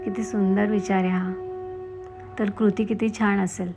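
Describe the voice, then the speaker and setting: Music plays in the background as a woman speaks at a medium pitch with fairly even intonation. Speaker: voiceover artist and blogger. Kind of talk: self-help blog narration.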